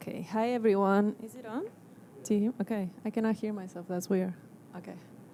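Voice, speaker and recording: A woman with an Argentine accent, medium pitch, big swings in loudness, a fairly quick pace and fairly even intonation. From Argentina. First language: Spanish. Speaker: graphic designer. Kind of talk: presentation talk. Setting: stage with audience.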